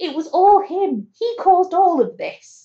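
A woman speaks in a somewhat breathy voice. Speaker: podcast co-host. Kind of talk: casual chat.

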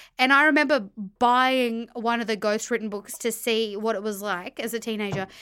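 The recording is very clean, with a silent background. A woman with an Australian accent speaks at a fairly high pitch, her tone bright and sharp, with ordinary pitch variation. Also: moderate pace. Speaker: podcaster, reality TV reviewer. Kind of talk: casual chat.

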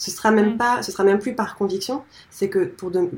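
A woman talks at a medium pitch in a somewhat breathy voice, her intonation fairly even. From north-eastern France. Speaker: founder of eco-design school. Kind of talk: interview conversation.

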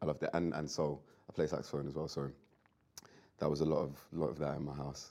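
A man with a very deep, low pitch and a dark, mellow tone speaks very fast, with vocal fry. His intonation is monotone and flat, broken by long, frequent pauses. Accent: London. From London. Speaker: rapper. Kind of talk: casual chat.

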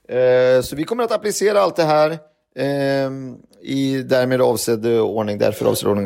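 Recorded very cleanly with a silent background, a man speaks at a moderate pace in a normal speaking voice with a medium pitch. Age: 40s. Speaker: podcast host. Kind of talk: casual chat.

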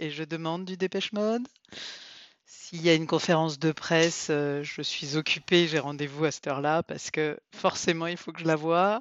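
A woman with an unremarkable speaking voice, fairly low-pitched, at a moderate pace, with fairly even intonation and big swings in loudness. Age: 50s. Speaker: podcast co-host. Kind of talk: casual chat.

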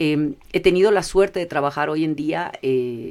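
With a plain, everyday voice, a woman of fairly low pitch speaks at a fairly slow pace with ordinary pitch variation. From Ecuador. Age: 50s. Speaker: corporate affairs manager. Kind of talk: interview conversation. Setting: studio.

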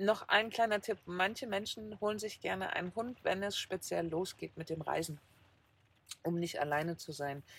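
In a plain, everyday voice, a woman speaks at a moderate pace and medium pitch with ordinary pitch variation, on a very clean recording with a silent background. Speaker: van-life podcaster. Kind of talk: casual chat. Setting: in a camper van.

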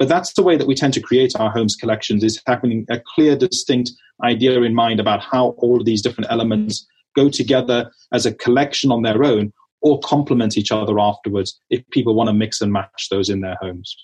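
A man with a South African accent talks at a fairly quick pace in a medium pitch. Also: ordinary pitch variation. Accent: South African-tinged English. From South Africa, Bloemfontein. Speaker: retail executive. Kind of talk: interview. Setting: remote call.

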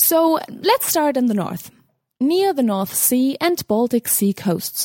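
In a German accent, a woman speaks very slowly with a fairly high pitch, very wide pitch swings and a dark, mellow tone, recorded dry and close with no echo. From Germany. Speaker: cultural correspondent. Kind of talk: scripted report.

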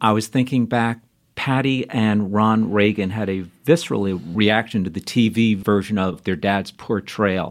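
A plain, everyday voice: a man at a fairly low pitch, fairly slow pace and ordinary pitch variation. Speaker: podcast host. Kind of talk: interview, casual chat.

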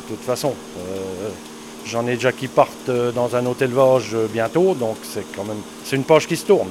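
Over noticeable background noise, a man at medium pitch talks at a fairly quick pace with very wide pitch swings. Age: 60s. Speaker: dairy farmer. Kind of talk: casual chat.

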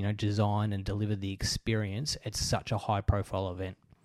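A man speaks at a fairly quick pace with a fairly low pitch and an Australian accent. His tone is dark and mellow, and the recording is very clean with a silent background. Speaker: podcast host. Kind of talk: interview; scripted narration.

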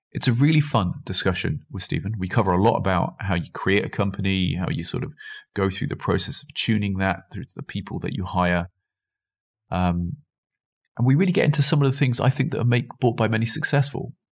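In a very clean recording with a silent background, a man with a medium pitch speaks at a fairly quick pace, somewhat breathy, with lively intonation and big swings in loudness. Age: 30s. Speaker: podcast host. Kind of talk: scripted intro; interview.

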